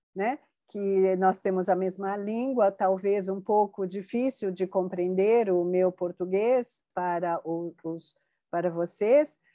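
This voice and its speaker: Speaking very slowly, a woman uses a medium pitch with ordinary variation and a dark, mellow tone. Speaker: researcher of Japanese culture. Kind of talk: interview conversation.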